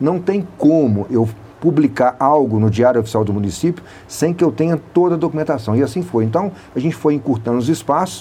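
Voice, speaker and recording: With a plain, everyday voice, a man talks at a fairly quick pace, pitched fairly high, with lively intonation. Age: 60s. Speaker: city public works official. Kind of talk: radio interview.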